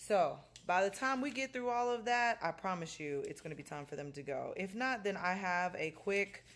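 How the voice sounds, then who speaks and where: Very wide pitch swings mark this woman's speech. Her pitch sits in the medium range. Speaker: high school science teacher. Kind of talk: casual vlog. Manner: fast.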